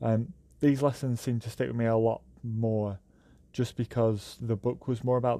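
A man with a British accent, medium-pitched, dark and mellow in tone, flat and monotone, at a moderate pace over a quiet background. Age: 20s. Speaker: podcast host. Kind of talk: monologue podcast. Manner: hesitant with fillers.

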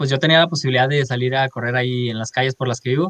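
The recording is dry and close, with no echo at all. A man talks with a fairly high pitch. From Mexico, Culiacán, Sinaloa. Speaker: athlete (hurdler/sprinter). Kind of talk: interview. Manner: halting, many fillers.

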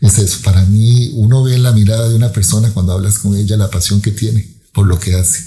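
A man at a fairly quick pace, with fairly even intonation, hardly any pauses and very even loudness. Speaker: scientist. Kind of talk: interview.

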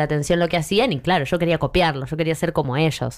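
Very fast pace, with ordinary pitch variation. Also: woman. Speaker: humorist making satirical videos. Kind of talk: casual chat.

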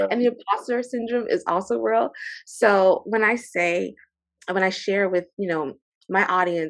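Against a quiet background, a woman talks at a moderate pace with lively intonation. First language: French. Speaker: librarian and archivist, military veteran. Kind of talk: casual book discussion. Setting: remote call with outdoor noise. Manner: animated.

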